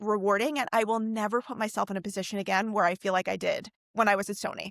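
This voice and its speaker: Speaking at a very fast pace with an American accent, a woman comes through in a dry, close, very clean recording with no echo and a silent background. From US Northeast, New York City (Manhattan). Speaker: music industry executive. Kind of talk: podcast interview. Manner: casual.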